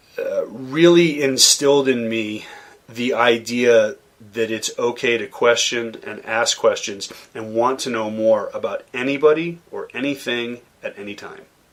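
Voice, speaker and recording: Using a normal speaking voice with an American accent, a man talks at a fairly slow pace and medium pitch, his intonation fairly even and his loudness swinging widely. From US Northeast, Boston suburbs (Massachusetts). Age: 40s. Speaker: chef and caterer. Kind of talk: interview conversation.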